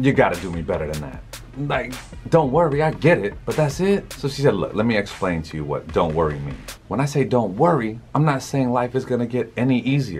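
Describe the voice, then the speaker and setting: Music plays in the background as a man talks at a fairly quick pace. His medium-pitched voice swings very widely in pitch. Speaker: motivational speaker. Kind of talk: motivational talk to camera. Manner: casual, conversational.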